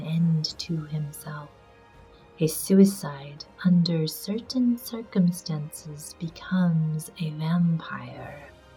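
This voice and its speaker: With music in the background, the voice moves at a very slow pace. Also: woman. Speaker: amateur reader. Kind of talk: audiobook reading.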